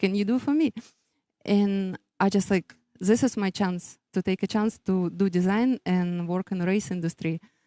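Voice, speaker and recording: A woman with a Russian accent speaks at a moderate pace and medium pitch, with ordinary pitch variation and a dark, mellow tone, in a dry, close sound with no echo over a very clean, silent background. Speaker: business owner, race graphics designer. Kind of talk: interview. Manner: halting, many fillers.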